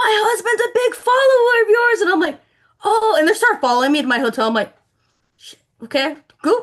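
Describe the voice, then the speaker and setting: A woman with an extremely high pitch speaks with very wide pitch swings, big swings in loudness and long, frequent pauses. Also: fairly quick pace. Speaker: bassist. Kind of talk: casual chat. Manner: animated.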